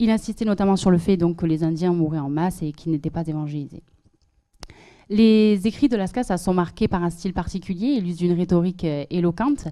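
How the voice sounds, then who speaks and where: Against a quiet background, a woman speaks at a fairly quick pace in a fairly low, dark, mellow voice. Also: ordinary pitch variation. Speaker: master's student and event organizer; presenter. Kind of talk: event presenting and academic talk. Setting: stage with audience. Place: hall. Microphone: handheld.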